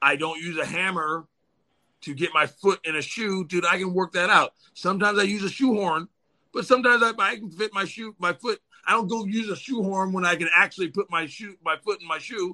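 Raising and projecting his voice, a man speaks at a fairly quick pace in a high pitch and a bright, sharp tone, with ordinary pitch variation, big swings in loudness and a dry, close sound with no echo. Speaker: spiritual practitioner guest. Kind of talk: casual livestream chat. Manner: animated.

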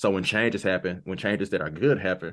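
A man with an American accent and an unremarkable speaking voice talks fairly quickly at a fairly low pitch over a quiet background. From US South, Arkansas. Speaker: nonprofit director. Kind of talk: casual chat.

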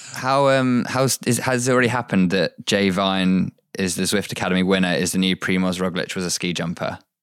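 With a British accent, a man talks at a fairly quick pace with hardly any pauses, his very deep, low pitch showing ordinary variation. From Britain. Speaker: cycling podcast co-host. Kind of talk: casual chat.

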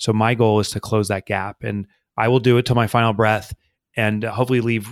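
A man with a fairly low pitch and a monotone, flat intonation at a moderate pace, in a very clean recording with a silent background and a dry, close sound with no echo. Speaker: business author. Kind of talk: interview. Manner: conversational.

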